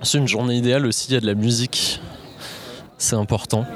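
Noticeable background noise runs beneath a man speaking at a medium pitch. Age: 20s. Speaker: software engineer. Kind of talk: casual chat.

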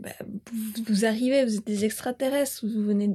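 A woman speaks at a fairly quick pace in a somewhat breathy voice. Her tone is dark and mellow, with fairly even intonation. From Switzerland, Bern (Bümpliz). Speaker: farmer. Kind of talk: interview.

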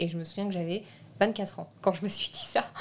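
A woman speaks at a moderate pace in a normal speaking voice, at medium pitch with ordinary pitch variation. The recording is very clean with a silent background. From France. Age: 20s. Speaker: film director. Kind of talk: interview.

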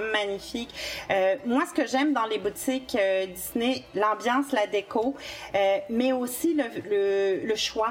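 With a Quebec accent, a woman speaks very slowly at a fairly high pitch, with very even loudness, ordinary pitch variation and noticeable background noise. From France. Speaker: travel agent. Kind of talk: podcast interview.

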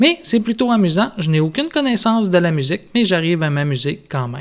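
In a very clean recording with a silent background, a man with a high pitch speaks with lively intonation. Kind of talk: scripted narration. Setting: home studio.

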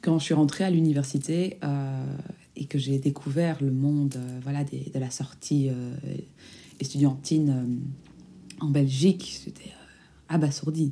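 A fairly slow pace broken by long, frequent pauses. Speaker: student podcaster. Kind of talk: casual monologue. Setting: home recording. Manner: halting.

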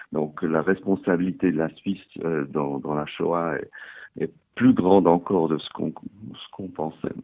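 A man's very deep, low voice at a fairly slow pace, with fairly even intonation. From French- and Italian-speaking Switzerland (Geneva, Lugano). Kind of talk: interview.

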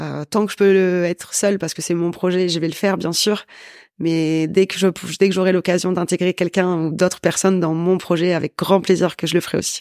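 The woman's voice is fairly low and monotone, with flat intonation, at a fairly quick pace. The recording is very clean with a silent background, and the sound is dry and close with no echo. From northern France, Valenciennes. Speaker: business owner, sales and networking consultant. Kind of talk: interview.

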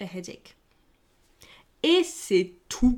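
Very clean recording of a woman, the background silent. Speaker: English teacher podcaster. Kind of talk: language lesson. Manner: casual, chatty.

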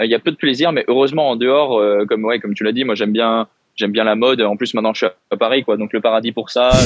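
A man speaks at a medium pitch. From France. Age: 20s. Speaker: professional badminton player. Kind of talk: interview.

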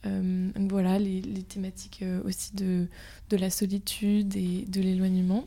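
At a fairly slow pace, a woman speaks in a somewhat breathy, dark, mellow tone at medium pitch, with monotone, flat intonation. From Brittany, France. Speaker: student podcast host. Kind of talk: casual interview.

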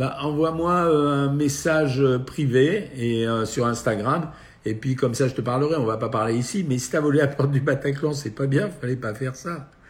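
A man's fairly high, somewhat breathy voice with ordinary pitch variation at a moderate pace. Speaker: nutritionist doctor hosting a live Q&A. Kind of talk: live stream Q&A answering viewer questions. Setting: at home, live video stream.

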